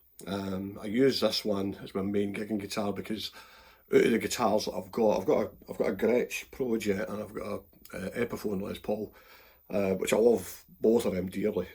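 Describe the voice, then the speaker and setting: A man with a Glaswegian accent at a moderate pace. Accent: Glaswegian Scottish. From Scotland. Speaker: guitarist. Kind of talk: casual guitar review talk to camera.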